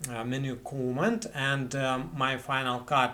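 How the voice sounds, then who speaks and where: A man talks with a Russian accent. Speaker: video editing tutorial creator. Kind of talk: tutorial. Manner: halting, many fillers and repetitions. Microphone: webcam.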